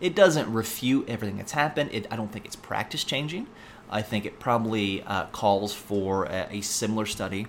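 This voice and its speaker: This man speaks at a fairly quick pace with an American accent and a fairly low pitch. His intonation is lively, and his loudness swings a lot. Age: 30s. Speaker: pharmacy professor and podcast host. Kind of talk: solo educational podcast monologue. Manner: frequent fillers and hesitations.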